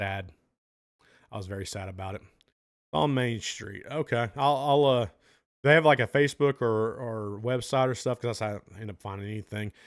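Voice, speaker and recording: With a Southern US accent, a man speaks with ordinary pitch variation in a very clean recording over a silent background. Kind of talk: casual live-stream chat answering viewer questions.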